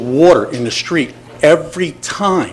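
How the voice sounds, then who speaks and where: Against noticeable background noise, a man speaks at a high pitch with ordinary variation. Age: 60s. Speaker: retired army engineer, resident speaking at public comment. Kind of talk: public comment at city commission meeting. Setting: city commission meeting. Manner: emotional, halting with repetitions.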